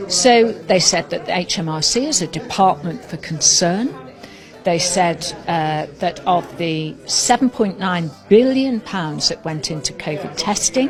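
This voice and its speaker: A woman with a British accent speaks at a fairly low pitch with lively intonation over music in the background. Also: fairly slow pace. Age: 60s. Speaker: political commentator. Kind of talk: political talk. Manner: animated.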